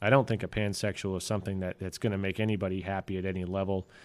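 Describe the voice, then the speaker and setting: Very fast and monotone, a man speaks in a fairly low, flat voice on a very clean recording with a silent background. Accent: American. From Texas. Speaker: podcast co-host. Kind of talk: casual chat.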